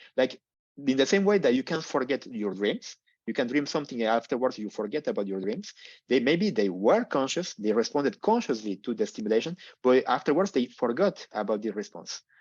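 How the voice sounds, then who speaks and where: Against a quiet background, a man talks at a fairly quick pace and a medium pitch with very wide pitch swings, the sound dry and close with no echo. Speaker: neurologist and PhD researcher. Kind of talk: lecture. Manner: fast.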